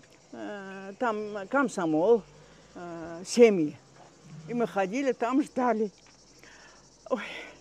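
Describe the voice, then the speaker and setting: Speaking at a very slow pace, a woman with a medium-pitched voice uses ordinary pitch variation, big swings in loudness, and long, frequent pauses. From Crimea, Gaspra. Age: 90s. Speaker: elderly local resident recounting wartime memories. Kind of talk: oral history interview. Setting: outdoors walk. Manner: halting, many hesitations.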